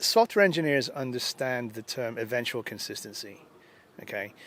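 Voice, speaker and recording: A man with an English accent, ordinary pitch variation and a dry, close sound with no echo. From England, London. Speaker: user group organizer and conference speaker. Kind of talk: interview. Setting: at a conference.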